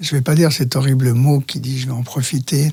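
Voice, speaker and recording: A man speaks fairly slowly at a medium pitch, his dark, mellow tone somewhat breathy and his intonation fairly even. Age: 70s. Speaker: men's talk group facilitator. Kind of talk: interview answer. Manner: hesitant.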